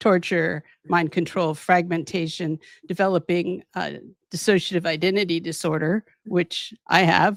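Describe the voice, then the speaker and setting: Using an American accent, a woman speaks at a moderate pace and a fairly low pitch with monotone, flat intonation, in a dry, close sound with no echo on a very clean recording with a silent background. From US, Southern California. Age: 70s. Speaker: physician and abuse survivor. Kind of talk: interview testimony. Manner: halting, many repeated words.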